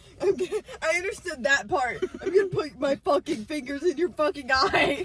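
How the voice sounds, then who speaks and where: The voice sounds animated at a moderate pace. Noticeable background noise sits behind it. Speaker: vlogger. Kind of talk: casual chat. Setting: in a car.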